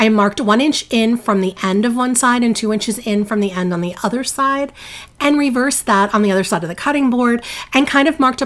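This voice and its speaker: A woman with a New Jersey accent, fairly high pitch, ordinary pitch variation, moderate pace. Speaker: DIY crafting youtuber. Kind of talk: tutorial voiceover. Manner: casual, chatty.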